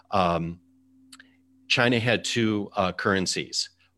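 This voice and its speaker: Very deep and low in pitch, a man speaks with an American accent and ordinary pitch variation. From US Midwest, Chicago suburbs. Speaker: podcast host. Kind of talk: casual interview chat. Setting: home, remote video call.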